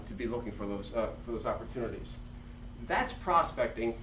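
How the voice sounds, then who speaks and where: With audible room echo and noticeable background noise, a man speaks. His pace is fairly quick. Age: 60s. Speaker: independent pharmacy owner. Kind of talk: presentation to students. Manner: halting, many fillers and repetitions.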